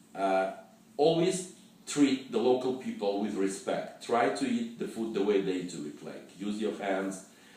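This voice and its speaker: A man's fairly slow speech with audible room echo. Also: medium pitch for a man. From Russia. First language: Russian. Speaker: travel fixer and storyteller. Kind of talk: personal travel story. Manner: halting, with many fillers and repetitions.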